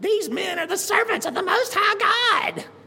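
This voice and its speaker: A female-sounding, put-on character voice pitched extremely high moves at a moderate pace. Light background noise sits behind it. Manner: funny, exaggerated.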